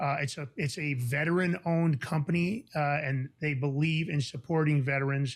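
A man with an American accent talks with fairly even intonation and a somewhat breathy voice. The recording is very clean, with a silent background. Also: fairly high pitch for a man, moderate pace. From New York. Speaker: podcast host. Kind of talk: casual chat.

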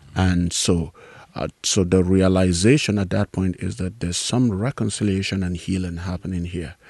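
A man with a very deep, low pitch speaks at a moderate pace. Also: ordinary pitch variation. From Nigeria. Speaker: pastor and peace activist. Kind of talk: interview. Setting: in person, Northern Ireland.

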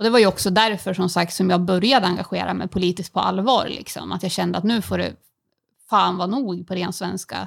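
A woman with vocal fry at a medium pitch, fairly quick in pace and fairly even in intonation. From Sweden, Timrå near Sundsvall. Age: 30s. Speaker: beauty salon owner and local politician. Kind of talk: interview.

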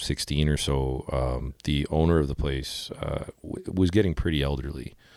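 Holding a fairly even intonation, a man with a very deep, low pitch speaks with a Canadian Prairies accent. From Manitoba, Canada (Winnipeg). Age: 30s. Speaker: outdoor shop owner and band frontman. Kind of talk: casual interview chat. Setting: in-person in a home basement.

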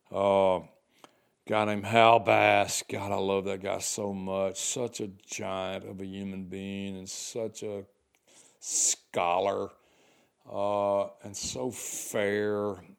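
A man with a Southern US accent speaks at a fairly low pitch and a very slow pace, in monotone, flat intonation with big swings in loudness. The recording is very clean, with a silent background. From US South, Arkansas. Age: 60s. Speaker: podcast host, retired. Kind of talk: reflective monologue. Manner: casual, halting with fillers.

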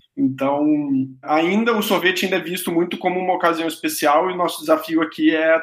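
Noticeable background noise behind fairly even intonation and a moderate pace. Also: man. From interior of Rio de Janeiro state, Brazil. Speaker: ice cream company founder. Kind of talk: casual chat. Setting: video call.

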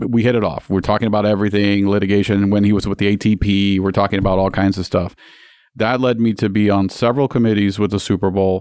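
A man with a Spanish accent, fairly low pitch, very fast pace and very even loudness, over a quiet background. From Puerto Rico (San Juan). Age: 40s. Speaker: bank executive. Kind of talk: interview conversation. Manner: energetic.

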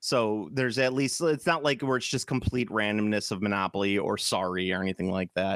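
With a Chicago accent, a man speaks fairly quickly and with hardly any pauses, his fairly low voice showing ordinary pitch variation in a dry, close sound with no echo. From US Midwest. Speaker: podcast host. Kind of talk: casual chat. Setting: video call. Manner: animated.

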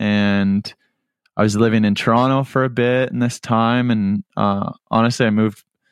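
A man with a slight Canadian accent speaks at a fairly slow pace in a medium pitch. His intonation is monotone and flat, and the background is quiet. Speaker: musician, band frontman. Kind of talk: casual interview chat.

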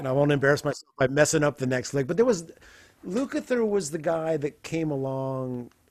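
A man with an American accent has a normal speaking voice, a fairly high pitch, ordinary pitch variation, and a fairly quick pace. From US Midwest, Evansville, Indiana. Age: 50s. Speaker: guitarist. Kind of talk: casual chat.

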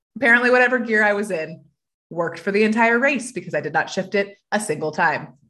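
In a normal speaking voice, a woman with an American accent talks at a medium pitch and moderate pace with ordinary pitch variation over a quiet background. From US South, Georgia. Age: young. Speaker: mental endurance coach and triathlete. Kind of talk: podcast interview.

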